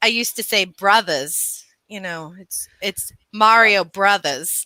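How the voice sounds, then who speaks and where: Speaking very slowly, a woman uses an American accent, a medium pitch and a bright, sharp tone. The recording is very clean with a silent background and a dry, close sound with no echo. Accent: slight New York accent, stronger when angry. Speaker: podcast co-host. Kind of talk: casual chat. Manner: animated.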